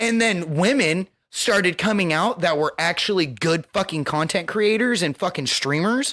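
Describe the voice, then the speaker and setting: A man speaks loudly at a moderate pace in a high, bright, sharp voice with lively intonation and hardly any pauses. The recording is very clean, with a silent background. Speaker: podcast co-host and streamer. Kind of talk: casual chat.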